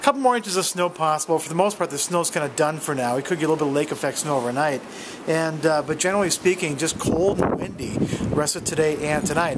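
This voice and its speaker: Loud background noise fills the clip as a man talks. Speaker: amateur weather reporter. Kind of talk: casual vlog weather update. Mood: wry, friendly. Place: street. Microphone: phone near.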